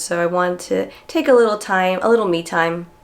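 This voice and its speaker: Noticeable background noise sits behind the voice. The delivery keeps a moderate pace. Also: woman. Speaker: screenwriter and vlogger. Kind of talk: casual vlog narration.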